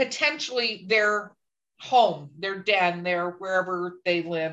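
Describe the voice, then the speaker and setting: Against a quiet background, a woman with an American accent speaks in a bright, sharp tone with lively intonation. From North Carolina Appalachians. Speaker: podcast host. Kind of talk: casual chat.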